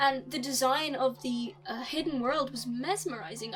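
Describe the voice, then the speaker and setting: With an Irish accent, a woman speaks at a high pitch. There is music in the background. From Republic of Ireland. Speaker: YouTuber film reviewer. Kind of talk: casual film review monologue. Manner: animated, casual with fillers.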